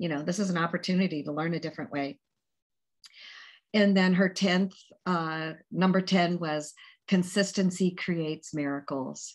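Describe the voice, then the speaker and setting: Over a very clean recording with a silent background, a woman with a fairly low pitch talks at a moderate pace with long, frequent pauses. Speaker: network marketing trainer sharing event recap. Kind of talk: recap presentation on a group call. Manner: enthusiastic.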